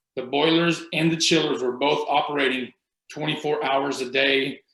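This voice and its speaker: A man's normal speaking voice, fairly high in pitch, with fairly even intonation at a moderate pace. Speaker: energy auditor. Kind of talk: webinar presentation.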